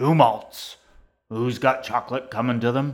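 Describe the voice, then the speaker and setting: A put-on character voice from a man, growling at a medium pitch and a moderate pace. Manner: gruff, demanding.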